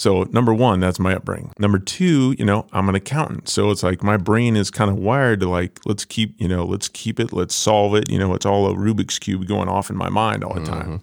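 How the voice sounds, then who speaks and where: Hardly any pauses break this Midwestern American accent, with ordinary pitch variation on a very clean recording with a silent background. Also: man, fairly low pitch for a man. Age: 40s. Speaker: business owner. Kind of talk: casual interview.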